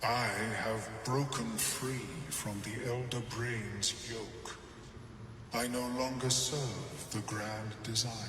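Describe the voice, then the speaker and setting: In a put-on character voice, a man speaks very slowly at a medium pitch, with clear echo and loud background noise. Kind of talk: eerie telepathic speech. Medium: machinima. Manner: detached, precise.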